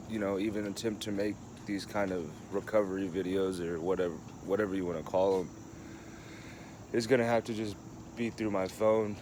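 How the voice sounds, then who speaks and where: A man with an American accent speaks at a fairly quick pace and a fairly low pitch. His intonation is fairly even, broken by long, frequent pauses. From Kansas City, Kansas (US Midwest). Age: 20s. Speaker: person in alcohol recovery, vlogger. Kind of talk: personal testimony. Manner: halting, many fillers.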